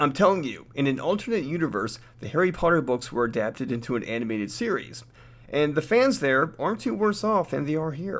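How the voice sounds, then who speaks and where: Using vocal fry, a man talks at a fairly quick pace with a fairly high pitch that swings very widely. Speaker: book reviewer, podcast host. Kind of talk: scripted review monologue.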